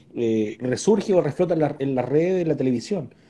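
A man in a Chilean accent, dark and mellow in tone, with lively intonation at a fairly quick pace. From Chile, Santiago (Puente Alto). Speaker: live-stream interview host. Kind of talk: casual interview. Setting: live online video stream.

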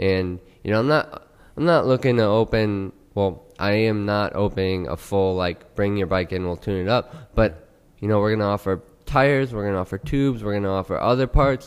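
This man has an ordinary speaking voice, fairly low in pitch, with an American accent. He talks at a fairly quick pace with ordinary pitch variation. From Houston, Texas. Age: 20s. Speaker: pro BMX rider and coffee entrepreneur. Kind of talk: casual chat. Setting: studio.

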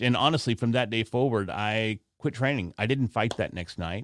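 Dry and close with no echo, this very clean recording with a silent background carries a man's unremarkable speaking voice. His pitch is medium, his pace moderate and his intonation lively. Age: 40s. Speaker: podcaster and martial artist. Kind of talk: casual interview. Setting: home podcast studio.

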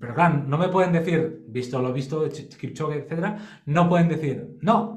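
A man with a fairly high pitch talks at a moderate pace, with noticeable background noise and audible room echo. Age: 40s. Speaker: sports biomechanics expert. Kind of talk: casual interview.

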